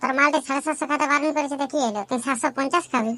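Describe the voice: A cartoonish character voice rattles along at a very fast pace and high pitch.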